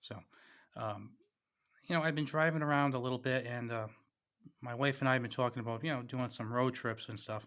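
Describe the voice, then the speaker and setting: In a very clean recording with a silent background, a man talks with a bright, sharp tone and a New England accent. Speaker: YouTuber reviewing preparedness gear. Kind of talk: casual vlog product talk.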